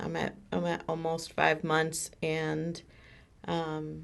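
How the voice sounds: The delivery is monotone and flat in intonation, with vocal fry and a slow pace. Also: woman, low pitch for a woman.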